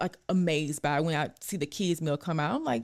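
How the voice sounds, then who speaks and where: An animated woman in a Louisiana accent, fairly quick, with ordinary pitch variation. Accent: Southern US, Louisiana. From North Louisiana, Ruston. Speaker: registered dietitian. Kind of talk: casual chat.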